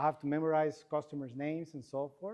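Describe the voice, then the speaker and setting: Speaking very fast, a man with a fairly high voice talks in a strong Mexican accent. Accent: thick Mexican Spanish. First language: Spanish. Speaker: AI and distribution expert. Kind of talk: conference panel presentation.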